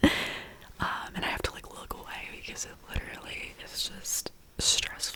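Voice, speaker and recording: A whispering woman, with noticeable background noise behind her. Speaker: ASMR creator. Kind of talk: ASMR whispered TV show recap. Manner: soft whisper.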